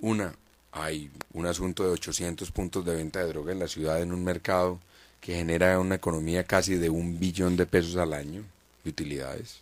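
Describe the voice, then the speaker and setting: A man with a very deep, low pitch speaks in a flat monotone over a very clean recording with a silent background. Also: moderate pace. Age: 30s. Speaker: mayoral candidate and journalist. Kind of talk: radio interview.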